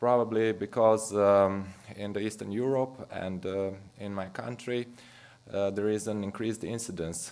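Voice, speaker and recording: A man with a Romanian accent, fairly low in pitch, his intonation fairly even, with audible room echo. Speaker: physician. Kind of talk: lecture. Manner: halting.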